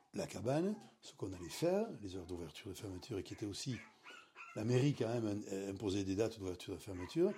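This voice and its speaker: The delivery is very fast yet marked by long, frequent pauses, with big swings in loudness and ordinary pitch variation. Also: man, fairly low pitch for a man. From French Basque Country. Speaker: beach bar owner, retired civil servant. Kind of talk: interview. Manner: halting.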